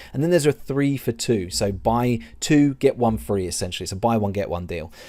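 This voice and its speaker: A man speaks at medium pitch with a dark, mellow tone and lively intonation. The recording is very clean, and the background is silent. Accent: English. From England. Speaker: online seller and business coach. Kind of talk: tutorial.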